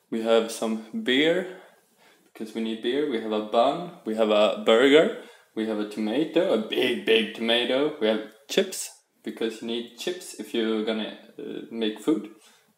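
Audible room echo around a man talking at a fairly slow pace with ordinary pitch variation. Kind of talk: casual cooking vlog chat. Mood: playful, joking. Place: kitchen. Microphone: phone near.

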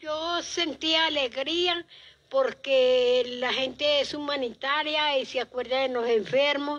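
Her pitch high and intonation fairly even, a woman speaks at a very slow pace. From Colombia, Tolima, rural. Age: 70s. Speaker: cancer patient. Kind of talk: interview testimony. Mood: grateful, faithful, calm. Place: home room. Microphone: handheld.

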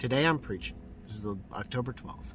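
Fairly quick and lively in intonation, a man talks at a fairly low pitch in a dry sound with no echo and light background noise. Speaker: street preacher. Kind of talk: street preaching, fervent testimony. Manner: animated, exuberant, joyful; excitable, repeating for emphasis. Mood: joyful, emotional. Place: car. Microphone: phone near.

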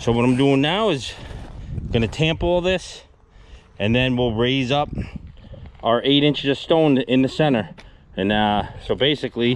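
Long, frequent pauses break up speech at a moderate pace. The sound is dry with no echo, and there is light background noise. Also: man. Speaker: excavation contractor. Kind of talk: tutorial commentary. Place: open country. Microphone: phone near.

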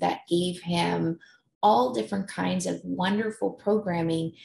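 A woman at a fairly slow pace, with audible echo in the room. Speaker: conference presenter. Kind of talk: presentation talk. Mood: warm, personal storytelling. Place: home room. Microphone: webcam.

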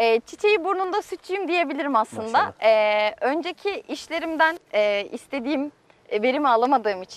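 A woman speaks with a high pitch and lively intonation. The sound is dry, with no echo. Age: 20s. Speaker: dairy farmer. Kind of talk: interview. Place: farm.

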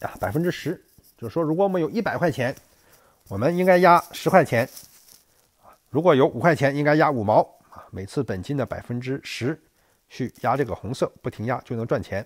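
This man's fairly high voice moves through very wide pitch swings at a fairly quick pace. The sound is dry and close, with no echo. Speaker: gambling strategy youtuber. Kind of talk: tutorial. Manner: loud, straining voice; frequent fillers, halting. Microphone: mic held very close to mouth.

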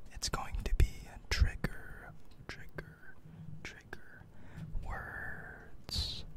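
Here a man is whispering. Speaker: ASMR content creator. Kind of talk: ASMR trigger-word whisper video. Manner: soft, repetitive trigger-word whispering with casual chatty asides. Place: home room. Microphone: studio mic.

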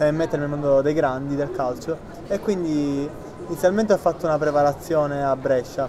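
Noticeable background noise sits behind a man whose fairly high-pitched voice keeps a fairly even intonation. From Sicily, Palermo; Sicily. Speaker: footballer. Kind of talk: interview. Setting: outdoors. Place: cafe.

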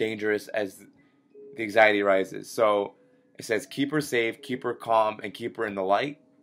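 A man speaks over faint music in the background. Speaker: gamer. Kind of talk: gameplay commentary. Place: home room.

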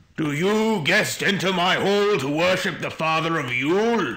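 A man speaks at a moderate pace in a high voice. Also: ordinary pitch variation. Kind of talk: ritual invocation.

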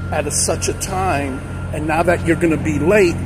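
A man talks while music plays behind him. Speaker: truck driver vlogger. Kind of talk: casual vlog chat. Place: street.

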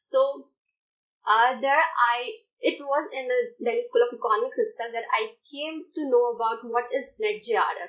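A woman keeps a moderate pace over a quiet background. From India (Rajasthan). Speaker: exam topper, commerce postgraduate student. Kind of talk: interview. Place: studio.

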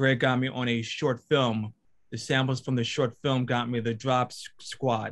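Over a quiet background, a man talks at a moderate pace with a monotone, flat delivery. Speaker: storyboard artist; panelist. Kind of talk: panel discussion answer. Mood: earnest, encouraging. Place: home room. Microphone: video call.

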